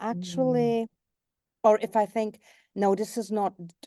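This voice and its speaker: Fairly slow and fairly even in intonation, the voice has a dark, mellow tone, with a dry, close sound, no echo, and a quiet background. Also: woman. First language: English, German and Swiss German. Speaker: voice actor. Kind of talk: interview answer.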